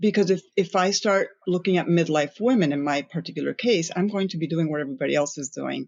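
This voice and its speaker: Using vocal fry, a woman speaks at a very fast pace with a fairly low pitch and ordinary pitch variation. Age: 50s. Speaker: influencer and content creator. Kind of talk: podcast interview. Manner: animated, with frequent restarts and fillers.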